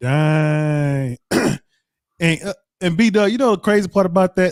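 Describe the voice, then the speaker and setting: The voice shows ordinary pitch variation in a dry, close sound with no echo. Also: man. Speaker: podcast co-host. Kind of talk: casual chat. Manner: loud.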